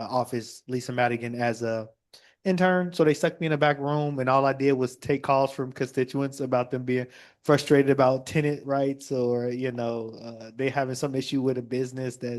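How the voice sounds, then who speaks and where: Against a quiet background, a man in a normal speaking voice talks at medium pitch and moderate pace with an American accent and fairly even intonation. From Chicago. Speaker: state representative. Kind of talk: panel discussion.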